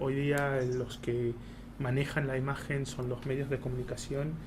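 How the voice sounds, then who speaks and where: With audible room echo, a man talks at a fairly slow pace. His medium-pitched voice has monotone, flat intonation. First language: Hebrew (speaking Spanish). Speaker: embassy spokesperson. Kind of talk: talk at a colloquium. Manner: halting, many fillers.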